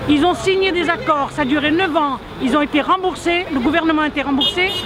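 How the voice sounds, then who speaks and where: A high-pitched woman's voice amid audible room echo and crowd noise in the background. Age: 70s. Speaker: protester. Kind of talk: street interview. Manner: animated.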